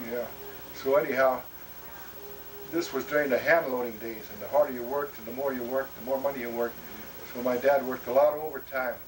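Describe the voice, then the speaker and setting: A man with an American accent at a very fast pace, with long, frequent pauses, big swings in loudness and music in the background. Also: medium pitch for a man, fairly even intonation. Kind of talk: family oral history conversation. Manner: halting, many fillers.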